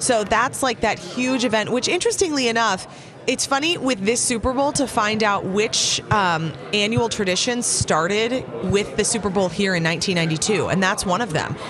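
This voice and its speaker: Speaking at a moderate pace with hardly any pauses, a woman with a fairly high pitch uses lively intonation and very even loudness against noticeable background noise. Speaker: entertainment news reporter. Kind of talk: casual chat, entertainment gossip.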